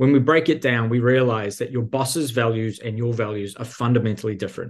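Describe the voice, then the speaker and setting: A man with a New Zealand accent, medium pitch, somewhat breathy delivery, ordinary pitch variation and a fairly quick pace. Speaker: career coach. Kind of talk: casual interview conversation.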